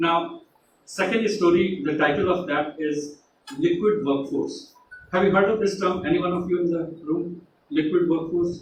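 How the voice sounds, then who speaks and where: A man's high-pitched voice in an Uttar Pradesh accent, ordinary pitch variation, moderate pace and audible room echo. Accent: Indian, Uttar Pradesh accent, unchanged. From India, Uttar Pradesh. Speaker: tech company executive, guest speaker. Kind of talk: motivational talk to students. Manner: hesitant, with many fillers.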